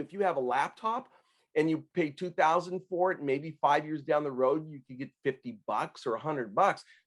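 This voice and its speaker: A man with an ordinary speaking voice, fairly high in pitch with ordinary variation, at a fairly quick pace. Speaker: tax consultant. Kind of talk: podcast interview.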